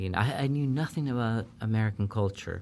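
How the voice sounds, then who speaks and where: At a moderate pace, a man speaks with a Spanish accent and ordinary pitch variation. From Peru. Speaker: professor. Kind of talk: interview.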